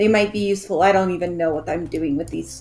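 Someone mumbles in a put-on character voice at a middle pitch. The pace is very fast. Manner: mumbling, low.

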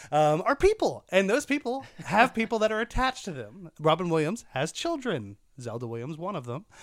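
On a very clean recording with a silent background, a man speaks at a fairly quick pace and a high pitch, with very wide pitch swings and big swings in loudness. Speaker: podcast host. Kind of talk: casual chat. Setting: studio. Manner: mumbling.

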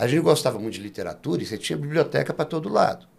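A man is speaking. His voice has vocal fry. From Brasília, Brazil. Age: 50s. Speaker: actor and director. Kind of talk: interview.

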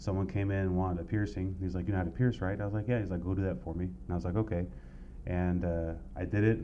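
Audible room echo surrounds an American man with a very deep, low pitch, who talks at a very fast pace with ordinary pitch variation. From US West Coast, east San Diego County. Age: 40s. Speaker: tattoo artist. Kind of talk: casual chat.

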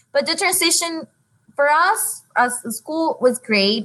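A woman speaks with a Honduran accent. Her pace is very slow. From Honduras. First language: Spanish. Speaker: elementary school teacher in dual language program. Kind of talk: casual chat.

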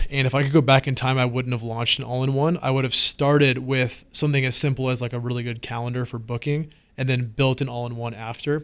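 The speaker has a West Coast accent and a fairly quick pace. The intonation stays fairly even. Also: man. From Washington State. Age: 20s. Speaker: app company founder and CEO. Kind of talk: interview. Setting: studio. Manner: casual, filler-heavy.

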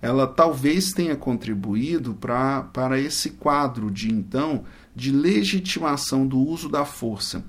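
An unremarkable speaking voice from a man, medium in pitch, with lively intonation at a fairly slow pace. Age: 40s. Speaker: prosecutor and law professor. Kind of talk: interview. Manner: formal.

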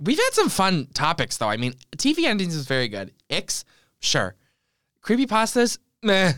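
In a very clean recording with a silent background, a man speaks at a high pitch with a bright, sharp tone and very wide pitch swings. He keeps a moderate pace with long, frequent pauses. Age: 20s. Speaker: podcast co-host. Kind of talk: casual chat.

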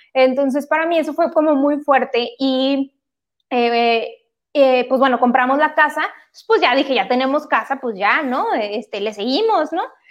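The woman's voice sits high in pitch. She talks rather slowly. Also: lively intonation, quiet background. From Mexico, Monterrey. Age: 30s. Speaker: homebuying adviser sharing personal story. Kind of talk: casual interview, personal testimony. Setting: live stream.

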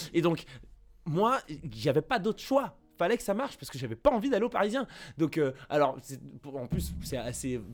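In a very clean recording with a silent background, a man with a fairly high pitch and vocal fry talks at a moderate pace, with very wide pitch swings and long, frequent pauses. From Paris area, France. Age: 20s. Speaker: pop culture video creator. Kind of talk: interview testimony. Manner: halting, many repetitions and fillers.

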